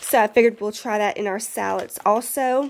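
A woman's fairly high voice with a Southern US accent, fairly even intonation and moderate pace, on a very clean recording with a silent background. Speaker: prepper YouTuber. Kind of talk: casual vlog haul. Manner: casual, chatty.

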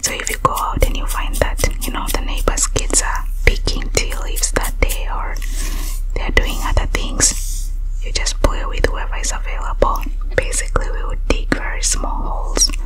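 Soft-spoken and whispering, the voice keeps a calm tone and a moderate pace over light background noise. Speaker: scalp-care session host. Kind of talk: soft-spoken storytelling about childhood. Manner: soft ASMR whisper, calm storytelling.

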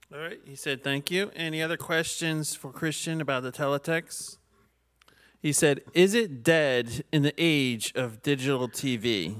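A man with a normal speaking voice talks at a fairly slow pace in a fairly high pitch, with ordinary pitch variation and big swings in loudness over a quiet background. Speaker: event host. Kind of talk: Q&A moderation. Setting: video call. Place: meeting room. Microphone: podium.

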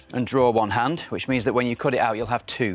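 There is faint music in the background as a man talks, and the sound is dry with no echo. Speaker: puppeteer. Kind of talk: TV craft demonstration, guest explaining steps. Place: studio. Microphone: lapel.

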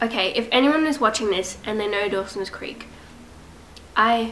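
A woman talks at moderate speed while light noise sits in the background. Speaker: vlogger. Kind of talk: casual vlog chat. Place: home room. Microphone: phone near.

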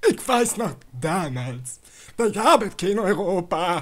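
A man puts on a character voice, pitched high with big swings. He speaks at a slow pace.

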